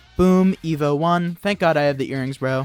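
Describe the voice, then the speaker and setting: Music plays in the background as a man talks in an animated tone at a fairly quick pace with ordinary pitch variation. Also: dry, close sound with no echo. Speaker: gaming youtuber. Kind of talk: gameplay commentary. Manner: halting.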